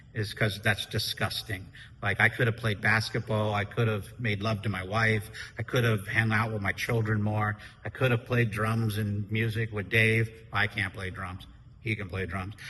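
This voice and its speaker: Loud and bright with a sharp tone, a man speaks at fairly low pitch. His intonation is monotone and flat, at a moderate pace. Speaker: podcast co-host and business owner. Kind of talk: casual chat.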